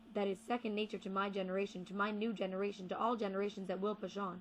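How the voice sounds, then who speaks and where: Somewhat breathy, a woman speaks at a medium pitch and a fairly quick pace. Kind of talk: poetry reading.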